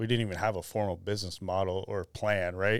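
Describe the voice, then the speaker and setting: This is an ordinary speaking voice from a man with an American accent and a fairly low pitch. He talks at a fairly quick pace on a very clean recording with a silent background. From Arizona. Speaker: CEO and co-founder of a clothing brand. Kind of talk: casual interview chat. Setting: studio.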